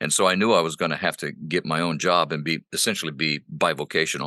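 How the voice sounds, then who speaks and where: In a quiet background with a dry, close sound and no echo, a man speaks in a bright, sharp tone with vocal fry. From Honduras. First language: Spanish. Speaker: pastor and voice actor. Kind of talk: casual interview. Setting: home studio.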